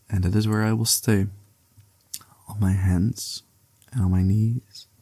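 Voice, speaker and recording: A man with a fairly low pitch speaks at a very slow pace, his dark, mellow tone somewhat breathy, in a dry, close sound with no echo. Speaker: ASMR creator. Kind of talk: poetry reading.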